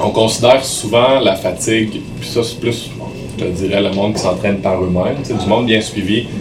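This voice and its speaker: A man speaks at a moderate pace with fairly low pitch and fairly even intonation. Noticeable background noise and audible room echo come through. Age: 30s. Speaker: bodybuilder and fitness trainer. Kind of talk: podcast interview.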